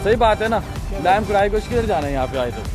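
A man's voice comes through dry with no echo. Clear music plays in the background. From Pakistan. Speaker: travel vlogger. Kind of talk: casual travel vlog talk to camera. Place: beach. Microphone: phone near.

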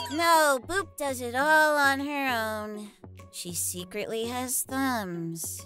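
In a put-on character voice, a female-sounding speaker talks very slowly at a high pitch, with faint music in the background. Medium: role play. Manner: upbeat, excitable.

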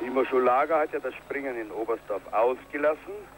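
Noticeable background noise is present throughout. The pace is moderate. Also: man. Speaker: ski jumping commentator. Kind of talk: live TV ski jumping commentary, archive broadcast. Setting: commentary over a broadcast of a ski jump event, crowd noise. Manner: swells with cheer at big jumps, rattles off names and distances.

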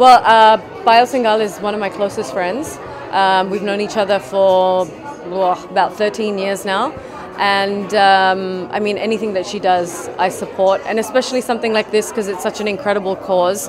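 The voice holds a moderate pace. Clear music plays in the background. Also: woman, fairly even intonation. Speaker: guest. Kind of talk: interview answer. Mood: relaxed, casual. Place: shop. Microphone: handheld.

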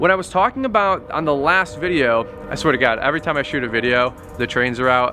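A man is talking at a fairly quick pace. Clear music can be heard behind him. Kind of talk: casual vlog chat. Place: street.

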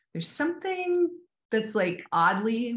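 At a moderate rate, a woman talks with a somewhat breathy quality. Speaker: actress interviewee. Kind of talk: interview answer. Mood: warm, reflective. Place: home room. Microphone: video call.

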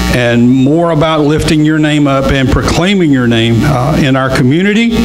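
A man's fairly slow speech, with ordinary pitch variation, plays against music in the background. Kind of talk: church welcome and prayer. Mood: warm, upbeat, then prayerful. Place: church.

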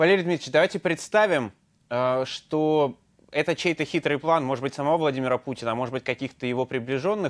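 With lively intonation and a fairly high pitch, a man speaks against a quiet background. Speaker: news anchor, interviewer. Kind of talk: interview. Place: studio. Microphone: lapel.

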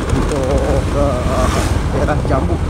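Dry sound with no echo amid loud background noise. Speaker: motovlogger. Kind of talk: casual vlog chat. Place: motorbike. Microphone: phone near.

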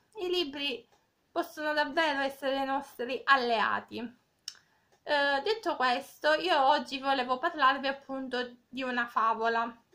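A woman uses a raised, projected voice at a high pitch with ordinary pitch variation. She speaks at a very slow pace over a quiet background. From Cosenza, Calabria, southern Italy. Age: 20s. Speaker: volunteer reader. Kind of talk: reading aloud a fable, with direct address. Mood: gentle, calm. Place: home room. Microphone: phone near.

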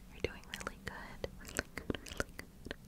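Someone whispers in a gentle tone at a moderate pace. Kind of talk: soft reassuring roleplay talk. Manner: gentle reassuring whisper. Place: home room.

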